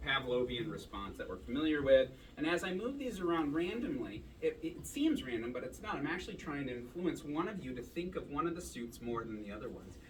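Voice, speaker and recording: Noticeable background noise and audible room echo surround a man who speaks at a fairly quick pace. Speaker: magician performing at a club show. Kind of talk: stage magic performance with audience patter. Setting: stage with live audience. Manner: loud; casual and chatty.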